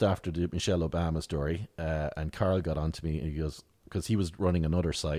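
A man in a rural Tipperary accent talks at a fairly quick pace on a very clean recording with a silent background. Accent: rural Tipperary Irish. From Ireland, rural County Tipperary. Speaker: satirical writer and comedian. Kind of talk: casual interview chat. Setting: in-person at the guest's office.

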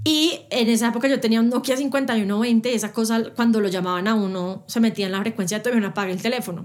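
The woman speaks at a very fast pace. Her pitch is fairly high, with ordinary pitch variation. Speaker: radio and TV presenter, interviewer. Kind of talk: casual interview conversation.

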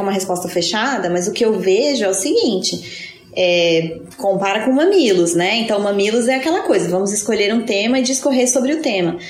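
Over noticeable background noise, a woman talks at a moderate pace. Her intonation is lively. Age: 30s. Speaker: podcast co-host. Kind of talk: casual chat. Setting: in person, recorded live together.

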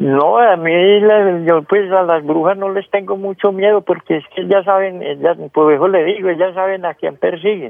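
A man with a high pitch talks at a moderate pace, his intonation fairly even. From rural Colombia. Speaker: caller, farmer. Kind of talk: phone-in storytelling. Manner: halting.

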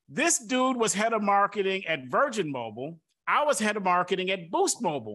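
Against a quiet background, a man with an American accent projects a raised voice in a bright, sharp tone at a high pitch, talking at a fairly quick pace with very wide pitch swings. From Detroit, Michigan. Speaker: podcast host, marketing consultant. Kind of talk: casual interview chat. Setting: remote recording. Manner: animated.

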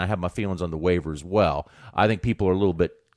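This man's speech races along at a very fast clip. The audio is very clean against total silence. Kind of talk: casual sports talk. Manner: conversational, relaxed, hesitant with filler words.

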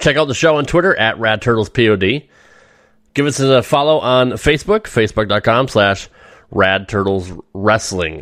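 Using an unremarkable speaking voice, a man talks at a fairly slow pace in a medium pitch with lively intonation. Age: 40s. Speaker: wrestling podcast host. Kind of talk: casual interview chat; show outro. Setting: online recording studio.

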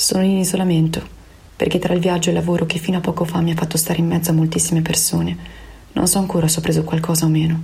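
A woman talks very fast at a fairly low pitch, her intonation monotone and flat. Her loudness stays very even, though noticeable background noise comes through. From Veneto, Italy. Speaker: opera director. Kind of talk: personal testimony. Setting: home in quarantine.

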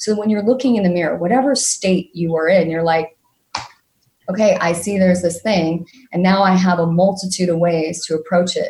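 At a fairly quick pace, a woman speaks in a dark, mellow, somewhat breathy tone at medium pitch, with ordinary pitch variation. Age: 40s. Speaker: emotional mastery coach. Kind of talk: interview. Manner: fast.

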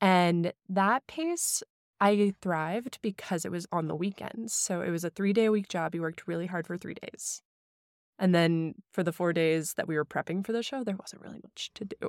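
In a very clean recording with a silent background, a woman with a plain, everyday voice and an American accent talks at a moderate pace, her medium pitch showing ordinary variation. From US Midwest, St. Louis, Missouri (some childhood years in Hong Kong). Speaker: recipe developer and social media food creator. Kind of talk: casual interview. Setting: studio.

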